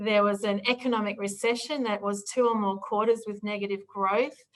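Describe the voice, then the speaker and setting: A woman with an Australian accent speaks at a fairly high pitch, her intonation fairly even. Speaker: political strategy consultant. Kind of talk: presentation.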